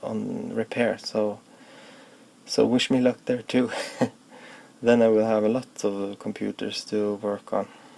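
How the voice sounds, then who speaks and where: Over noticeable background noise, the talking unfolds at a fairly slow pace. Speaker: electronics hobbyist. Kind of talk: casual talk to camera. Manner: hesitant, with fillers.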